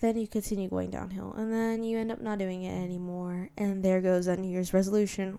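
A soft-spoken woman's voice of medium pitch, dark and mellow in tone, with ordinary pitch variation. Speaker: podcast host. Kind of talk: solo monologue. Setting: home bedroom.

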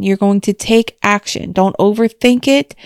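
This is a plain, everyday voice moving at a moderate pace. The sound is dry and close, with no echo. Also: woman. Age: 30s. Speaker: self-help podcaster. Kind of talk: solo monologue. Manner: casual, conversational.

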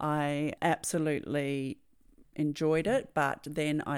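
A woman speaks with an Australian accent in a very deep, low pitch. The recording is very clean, with a silent background. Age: 50s. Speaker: podcast host, NLP and hypnosis coach. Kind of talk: personal storytelling monologue. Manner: halting, repeats words.

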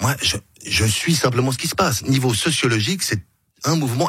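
Medium in pitch, a man talks at a fairly quick pace with lively intonation. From Switzerland, Geneva (Meyrin). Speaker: political candidate. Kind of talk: radio interview. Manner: hesitant, with repetitions.

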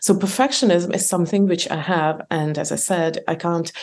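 Speech in an Eastern European accent carries fairly even intonation. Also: woman. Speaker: author and entrepreneur. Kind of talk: interview, conversational. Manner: hesitant with fillers, laughs often.

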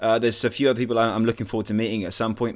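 Man's voice at a medium pitch on a very clean recording with a silent background. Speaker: podcast host. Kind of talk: scripted intro then casual interview. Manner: polished, upbeat radio-presenter patter.

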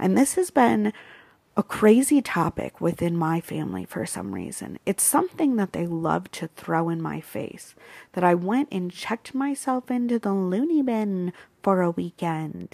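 A woman speaks at a fairly slow pace, the sound dry and close with no echo. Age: 20s. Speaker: podcast host. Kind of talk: personal testimony.

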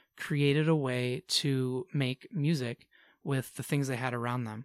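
A man talks in an ordinary speaking voice at medium pitch with fairly even intonation. The sound is dry and close with no echo, on a very clean recording with a silent background. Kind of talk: friendly educational explanation for kids.

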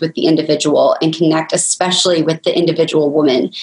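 Moderate-paced speech from a woman, background noise noticeable. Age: 20s. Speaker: business co-founder. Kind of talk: interview.

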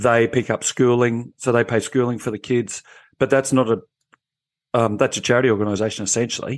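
A man's medium-pitched voice with very even loudness. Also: fairly quick pace. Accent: Australian. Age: 50s. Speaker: former police officer. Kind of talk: panel discussion. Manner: animated.

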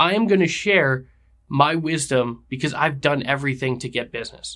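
A man talks in an animated tone on a very clean recording with a silent background. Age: 30s. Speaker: podcast host and real estate agent. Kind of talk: solo podcast monologue. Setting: on camera.

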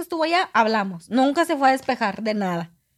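Very clean, with a silent background, this recording has a woman speaking at a fairly quick pace. Her voice is high, and its pitch swings very widely. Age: 20s. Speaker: guest telling personal story. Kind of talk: casual storytelling.

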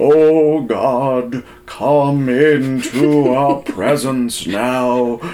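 Over clear background noise, a man uses a booming, put-on character voice at medium pitch, speaking very slowly with fairly even intonation. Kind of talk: solemn, preacherly. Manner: grand, booming, performative.

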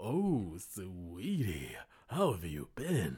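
A man puts on a character voice with a fairly low pitch and very wide pitch swings. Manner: sweet, cooing.

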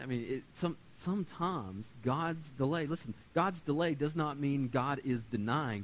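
Speaking at a moderate pace with lively intonation, a man has a medium pitch and a plain, everyday voice. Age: 30s. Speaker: pastor. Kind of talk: sermon. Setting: church.

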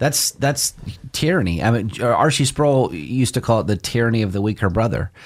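Fairly quick, lively speech from a man with an American accent, medium pitch and vocal fry, on a very clean recording with a silent background. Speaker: pastor and radio show host. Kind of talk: religious discussion show.

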